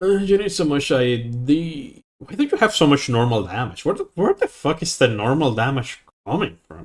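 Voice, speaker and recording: The voice moves at a moderate pace with hardly any pauses and is somewhat breathy. Its pitch swings very widely and its loudness varies a great deal. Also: man, fairly high pitch for a man. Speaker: gaming streamer. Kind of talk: live stream gameplay coaching. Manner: casual, conversational.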